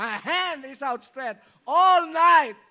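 Raising and projecting his voice, a man talks at a fairly slow pace in an animated, bright and sharp tone with lively intonation. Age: 40s. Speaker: pastor. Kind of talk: sermon.

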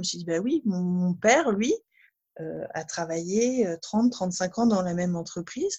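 Her intonation is lively, and this woman's voice comes across somewhat breathy. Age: 30s. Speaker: sophrologist. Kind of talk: testimony. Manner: hesitant, many fillers.

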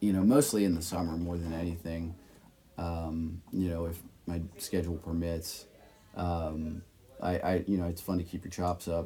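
Somewhat breathy and flat in a monotone, a man speaks with a very deep, low pitch. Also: moderate pace. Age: 20s. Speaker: music producer. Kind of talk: interview. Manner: halting, many fillers.

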